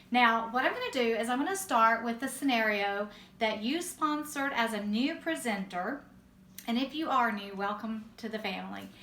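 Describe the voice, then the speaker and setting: In a Southern US accent, a woman with a bright, sharp tone speaks with lively intonation as audible room echo rings around her. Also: moderate pace. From US South. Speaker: direct sales team leader. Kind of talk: training talk.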